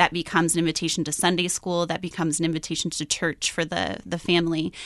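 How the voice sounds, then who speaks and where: Fairly quick woman's speech in a Midwestern American accent, fairly low in pitch with monotone, flat intonation, a dry, close sound with no echo, and a quiet background. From US Midwest, Iowa. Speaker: missionary teacher. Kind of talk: interview. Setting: studio.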